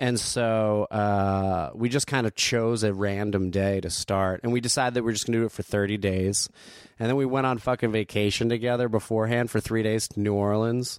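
Recorded very cleanly with a silent background and a dry, close sound with no echo, a man with an ordinary speaking voice talks at a fairly quick pace and fairly low pitch, with fairly even intonation and very even loudness. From New Jersey (Asbury Park/Neptune). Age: 30s. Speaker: stand-up comedian. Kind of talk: casual chat.

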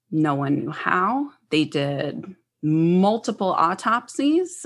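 At a very slow pace, a woman with an American accent speaks in a fairly low pitch. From New Jersey / Philadelphia area, US. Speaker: psychic medium and healer. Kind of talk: casual interview chat.

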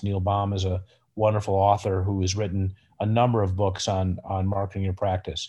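Someone with an American accent speaks at a moderate pace, somewhat breathy, against a quiet background. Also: man. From Chicago northern suburbs. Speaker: orthopedic surgeon. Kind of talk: interview.

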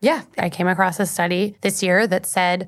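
On a very clean recording, a woman's voice stands against a silent background. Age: 20s. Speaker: climate change journalist. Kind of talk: casual interview.

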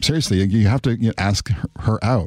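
A man's ordinary speaking voice, fairly low in pitch, at a moderate pace with fairly even intonation, dry and close with no echo, on a very clean recording with a silent background. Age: 50s. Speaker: sociology professor. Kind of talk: interview.

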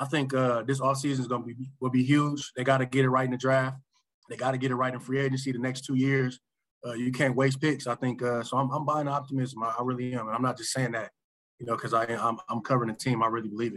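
At a very fast pace, a man with an American accent speaks at a medium pitch in a flat monotone. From Michigan. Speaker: sports beat writer. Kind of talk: casual chat.

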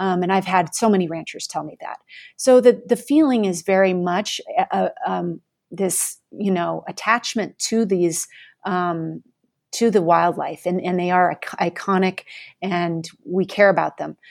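A woman with an American accent speaks in an unremarkable speaking voice at a fairly slow pace with ordinary pitch variation. Her loudness swings a lot, and the recording is very clean with a silent background. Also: medium pitch for a woman. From Colorado. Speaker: public radio reporter and podcast host. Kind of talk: interview.

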